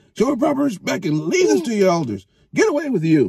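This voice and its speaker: Talking at a very fast pace, a man does a put-on character voice pitched high, with very wide pitch swings. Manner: indignant, angry.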